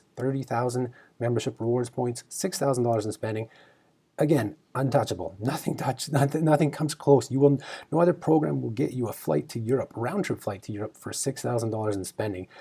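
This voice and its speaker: Lively intonation and a fairly quick pace in a somewhat breathy voice with a dark, mellow tone. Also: man. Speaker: travel rewards video host. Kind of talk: casual news discussion. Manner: halting, filler-heavy; animated.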